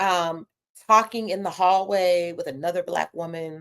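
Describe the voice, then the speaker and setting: An American accent from a woman at a medium pitch. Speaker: psychologist and pleasure coach. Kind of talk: livestream talk. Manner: loud.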